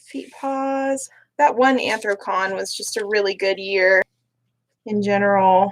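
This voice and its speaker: This woman has an ordinary speaking voice at a medium pitch, with ordinary pitch variation. She talks at a fairly slow pace. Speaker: livestreamer making fursuit parts. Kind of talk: casual livestream chat. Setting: livestream.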